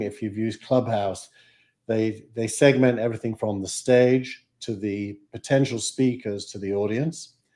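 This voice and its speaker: A man with a Yorkshire accent speaks at a medium pitch in a dark, mellow tone. His pace is fairly slow, his intonation fairly even, and the background is quiet. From Yorkshire, England. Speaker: startup advisor and investor. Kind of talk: casual interview.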